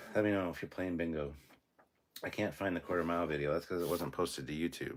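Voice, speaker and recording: A man with a very deep, low pitch and ordinary pitch variation, at a fairly quick pace broken by long, frequent pauses. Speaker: YouTube channel host, livestreamer. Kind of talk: live stream chat reading comments. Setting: live stream. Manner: says um a lot; casual, animated.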